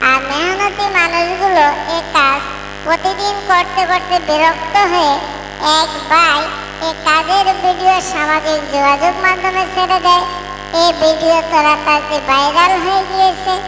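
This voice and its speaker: A cartoonish character voice at a moderate pace, with slight echo and loud background noise. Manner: long-winded, dramatic.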